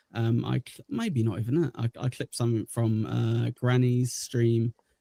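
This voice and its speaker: At a moderate pace, a man speaks with big swings in loudness, in a dry, close sound with no echo. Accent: English. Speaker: livestream host. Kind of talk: casual chat. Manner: hesitant, many filler words.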